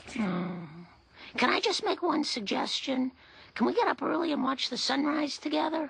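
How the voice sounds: A female-sounding, cartoonish character voice talks at a moderate pace with a high pitch.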